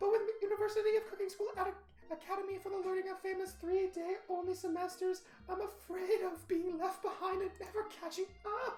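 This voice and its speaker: Over clear music in the background, a man performs a put-on character voice, extremely high-pitched and squeaky, with a dramatic tone, monotone, flat intonation, and a fairly quick pace. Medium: game stream. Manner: excitable, dramatic.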